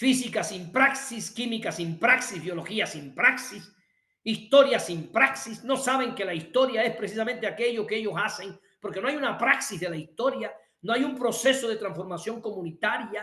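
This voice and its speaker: At a moderate pace, a man speaks in a raised, projected, high voice with an animated tone and ordinary pitch variation. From Cuba. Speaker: workshop instructor. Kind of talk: lecture.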